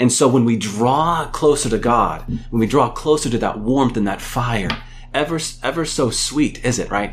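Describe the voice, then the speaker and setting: A man with a normal speaking voice talks at medium pitch with ordinary pitch variation. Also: moderate pace. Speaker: professor. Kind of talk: radio show conversation. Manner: thoughtful, measured.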